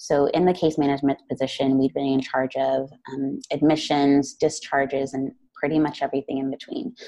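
In an American accent, a woman speaks with a very deep, low pitch, a dark, mellow tone and monotone, flat intonation. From US, Phoenix, Arizona. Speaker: social worker. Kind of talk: interview.

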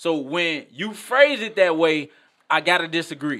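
Speaking at a moderate pace, a man with an American accent has a high-pitched voice. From Maywood, Illinois (Chicago area). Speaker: artist and author. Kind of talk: casual sports chat. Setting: studio. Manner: animated.

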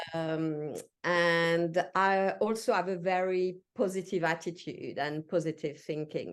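In a French accent, a woman speaks very slowly at a fairly low pitch, her intonation fairly even against a quiet background. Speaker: executive coach. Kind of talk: casual interview chat. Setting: video call from home. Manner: halting, many fillers.

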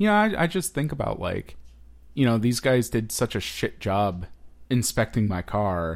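In a normal speaking voice at medium pitch, a man talks at a moderate pace with lively intonation. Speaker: podcast co-host. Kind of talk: casual chat. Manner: joking, bantering.

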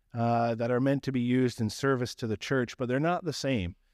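A man with a slight Newfoundland accent speaks at a medium pitch. The recording is very clean with a silent background and a dry, close sound with no echo. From Newfoundland, Canada. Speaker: pastor. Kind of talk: sermon. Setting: church.

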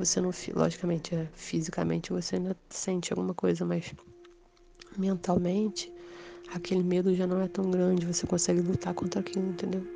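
A woman speaks at a fairly quick pace while noticeable background noise carries on around her. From Rio de Janeiro, Brazil. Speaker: storyteller sharing supernatural experiences. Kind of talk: personal testimony.

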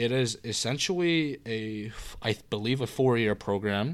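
A man with an ordinary speaking voice at medium pitch talks at a fairly slow pace with lively intonation, on a very clean recording with a silent background. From Canada (Korean-born, moved at age one). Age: 18. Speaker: university student. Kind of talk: casual chat.

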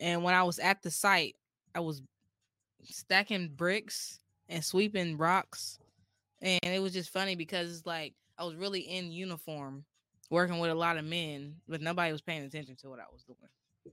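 On a very clean recording with a silent background, a woman with an American accent speaks at fairly low pitch in a bright, sharp tone, with fairly even intonation and big swings in loudness. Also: moderate pace, dry, close sound with no echo. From US Midwest (Columbus, Ohio). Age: 20s. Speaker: content creator. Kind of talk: casual chat.

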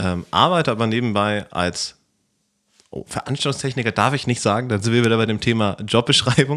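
A man at a medium pitch, with ordinary pitch variation and a fairly quick pace. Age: 20s. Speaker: computer science student and event technician. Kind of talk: casual chat.

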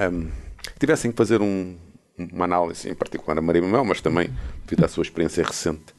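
This man talks at a very fast pace in a very deep, low voice. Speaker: professor emeritus, podcast co-host. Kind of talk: casual chat.

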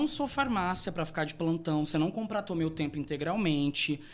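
The man talks at a moderate pace. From Brazil, Rondonópolis, Mato Grosso. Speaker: event planner. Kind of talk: interview.

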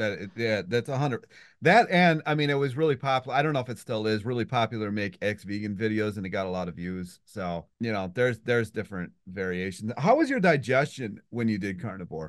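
A man with an American accent, fairly low-pitched in a normal speaking voice, lively in intonation, fairly quick with hardly any pauses, against a quiet background. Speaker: podcast host. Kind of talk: casual interview.

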